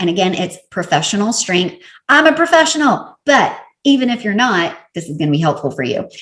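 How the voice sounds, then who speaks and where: In a Southern US accent, a woman talks with a medium pitch, a somewhat breathy quality and an animated tone. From US South. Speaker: professional organizer and podcaster. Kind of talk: product review vlog.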